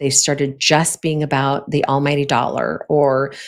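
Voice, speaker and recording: Fairly slow pace from a woman. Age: 60s. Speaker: podcast host. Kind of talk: solo podcast talk on leadership. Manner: conversational, with frequent fillers.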